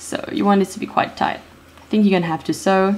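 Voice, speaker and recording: At a fairly quick pace, a woman speaks in a medium pitch with ordinary pitch variation. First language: not English. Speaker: DIY video maker. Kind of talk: tutorial. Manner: hesitant, many fillers.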